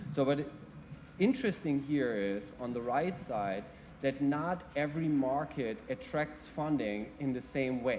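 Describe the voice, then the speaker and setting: Fairly slow delivery with a German accent and ordinary pitch variation. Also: man, fairly high pitch for a man. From Germany. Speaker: mobility industry panelist. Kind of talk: panel presentation. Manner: halting.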